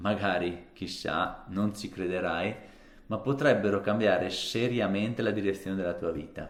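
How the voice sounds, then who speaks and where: A man with a fairly low voice speaks at a moderate pace and with fairly even intonation, and the room echo is audible. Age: 30s. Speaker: fitness vlogger. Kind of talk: casual vlog monologue to camera. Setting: alone talking to camera.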